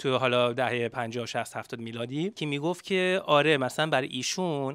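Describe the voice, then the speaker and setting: Ordinary pitch variation and a moderate pace from a man with a fairly high voice, the sound dry with no echo against a quiet background. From United States. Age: 30s. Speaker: activist. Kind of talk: panel debate. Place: shop. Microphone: handheld.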